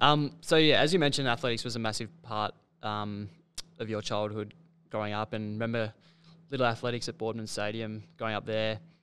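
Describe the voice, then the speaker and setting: Someone with an Australian accent talks at a fairly quick clip, the intonation staying fairly even. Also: man, medium pitch for a man. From Victoria, Australia. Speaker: podcast host. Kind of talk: podcast interview. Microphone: studio mic.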